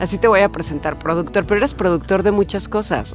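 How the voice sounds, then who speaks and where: A woman speaking with music in the background. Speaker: podcast host; announcer. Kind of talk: podcast conversation. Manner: casual, chatty.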